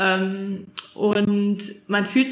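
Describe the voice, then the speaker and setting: Noticeable background noise beneath a woman's speech. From Thuringia, Erfurt. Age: 20s. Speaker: new mother. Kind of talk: interview testimony. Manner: hesitant, many fillers.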